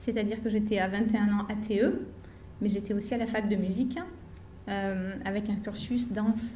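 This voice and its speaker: Audible room echo surrounds a woman speaking at a medium pitch, her intonation monotone and flat. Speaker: equine therapist and association founder. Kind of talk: conference talk.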